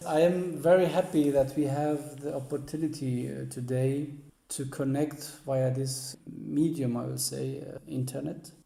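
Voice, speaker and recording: A man's fairly slow, somewhat breathy voice, fairly high yet dark and mellow in tone, flat and monotone, in a Middle Eastern accent with audible room echo. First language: Assyrian Neo-Aramaic. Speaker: author and music historian. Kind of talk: interview. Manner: halting, many hesitations.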